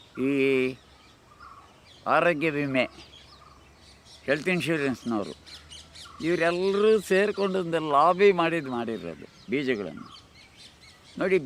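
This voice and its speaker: Noticeable background noise sits behind a man's voice. He has a fairly high pitch and lively intonation. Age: 80s+. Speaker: organic farmer. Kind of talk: documentary interview answer.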